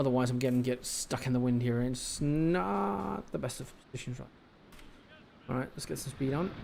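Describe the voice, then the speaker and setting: A man mumbles at a medium pitch. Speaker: video game streamer. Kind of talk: live gameplay commentary. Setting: live stream. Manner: mumbling.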